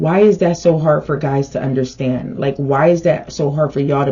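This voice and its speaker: A woman speaks in a very deep, low pitch with ordinary pitch variation. Her voice is somewhat breathy. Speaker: tarot reader. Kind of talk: direct-to-camera vlog. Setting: on camera. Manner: slow.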